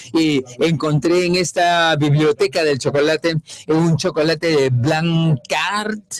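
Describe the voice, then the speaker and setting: Spoken very slowly in a French accent, the voice holds very even loudness and fairly even intonation. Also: man, fairly high pitch for a man. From France. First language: French (speaking Spanish). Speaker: economist at international commodity organization. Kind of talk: conference lecture. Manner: hesitant, many fillers.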